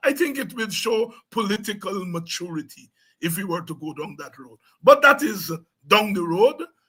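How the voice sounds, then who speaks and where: With a raised, projected voice, a high-pitched man speaks at a moderate pace in a bright, sharp tone, with lively intonation and big swings in loudness. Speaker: politician. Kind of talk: interview. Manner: halting.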